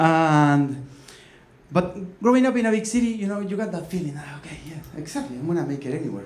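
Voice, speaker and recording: A man with a Uruguayan accent speaks at a fairly quick pace and fairly high pitch, his intonation lively, with audible room echo and noticeable background noise. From Uruguay, Montevideo. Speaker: comedic storyteller, copywriter. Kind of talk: stand-up storytelling. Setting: stage with audience.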